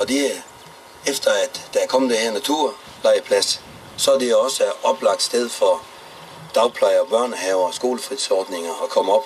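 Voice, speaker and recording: Noticeable background noise runs beneath a man who talks fairly slowly. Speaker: mayor. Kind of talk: public speech.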